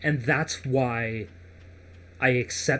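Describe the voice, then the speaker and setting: This man's voice is somewhat breathy and carries an American accent. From United States. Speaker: gaming podcast host. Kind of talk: casual chat.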